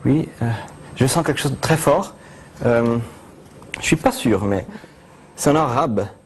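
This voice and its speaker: A man with a strong Italian accent, speaking at a moderate pace. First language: Italian (speaking French). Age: 20s. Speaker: mentalist performer. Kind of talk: TV talk show interview. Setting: TV studio. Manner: halting, many hesitations.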